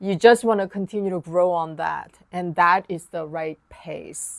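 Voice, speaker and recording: A woman with a Korean accent at a very slow pace, ordinary pitch variation, in a very clean recording with a silent background. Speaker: piano teacher. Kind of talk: tutorial.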